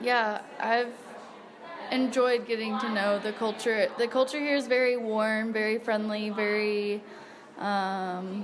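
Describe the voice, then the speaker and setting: Her pace very slow, a woman talks at a fairly high pitch. Her intonation stays fairly even. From United States. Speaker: English teacher and volunteer. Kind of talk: interview. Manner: casual, relaxed.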